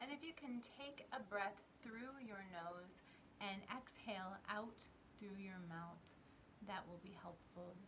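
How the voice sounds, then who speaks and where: Over noticeable background noise, a woman talks at a very slow pace with ordinary pitch variation. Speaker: spiritual teacher and meditation guide. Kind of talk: guided grounding meditation with breathing and visualization cues. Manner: slow, soothing, gently instructive pacing with repeated 'and' transitions; calm, reassuring, softly encouraging tone. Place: home room.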